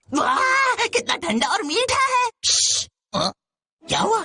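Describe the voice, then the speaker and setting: Someone speaks at a fairly slow pace in a put-on character voice. Music plays in the background. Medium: fan dub. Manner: sly, greedy.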